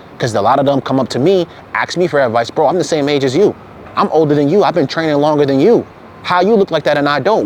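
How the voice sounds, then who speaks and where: Over noticeable background noise, a man talks very fast in a fairly high voice with lively intonation. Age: 20s. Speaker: fitness content creator. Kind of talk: motivational monologue. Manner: animated.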